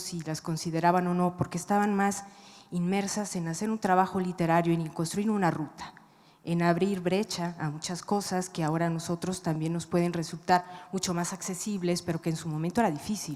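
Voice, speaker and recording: A soft-spoken woman talks fairly quickly in a fairly low pitch with fairly even intonation. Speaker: writer. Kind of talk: panel discussion. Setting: stage with audience.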